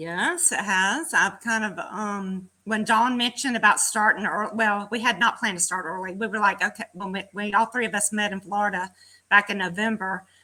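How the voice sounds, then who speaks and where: A woman with a Southern US accent talks at a moderate pace, hardly pausing, in a bright, sharp tone of medium pitch. Her pitch varies in an ordinary way, and the recording is very clean with a silent background. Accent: Southern US country. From Georgia, US South. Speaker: fitness program participant. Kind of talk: casual chat. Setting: live video stream.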